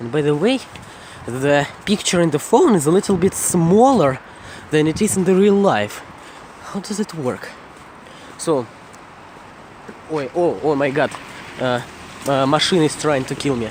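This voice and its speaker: A man with a Russian accent speaks at a fairly slow pace in a fairly high pitch, with lively intonation. He leaves long, frequent pauses over noticeable background noise. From Russia, Moscow region. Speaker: vlogger. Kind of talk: casual walking vlog. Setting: outdoors at night, walking. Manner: halting, self-correcting.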